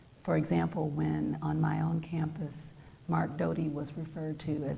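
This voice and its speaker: A woman talks at a fairly slow pace, with audible echo from the room around her. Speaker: poet. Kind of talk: poetry reading.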